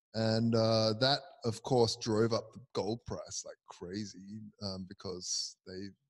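This is a man with an ordinary speaking voice and a fairly low pitch. His intonation is fairly even, and the background is quiet. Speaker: crypto video co-host. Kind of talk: casual chat. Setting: conference venue, on camera. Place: hall. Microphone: handheld.

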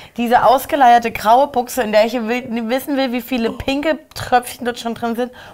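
A woman speaks in a high pitch. Her tone is animated. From Germany. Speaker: YouTube reality TV commentator. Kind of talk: casual chat. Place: studio.

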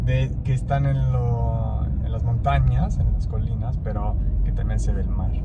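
A man talks at a very slow pace. Loud background noise runs underneath. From Italy. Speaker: vlogger's partner. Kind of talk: casual chat. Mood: relaxed, appreciative. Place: car. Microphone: phone near.

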